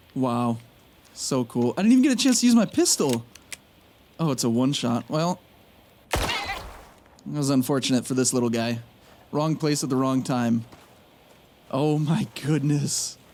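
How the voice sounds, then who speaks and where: Noticeable background noise sits behind a man with a fairly high pitch. He leaves long, frequent pauses. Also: ordinary pitch variation, moderate pace. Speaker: gaming youtuber. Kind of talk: gameplay commentary. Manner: animated.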